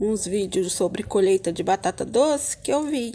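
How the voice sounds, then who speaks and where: Light background noise sits behind a woman's voice. She talks at a fairly slow pace with lively intonation. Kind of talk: casual vlog chat. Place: garden. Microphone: phone near.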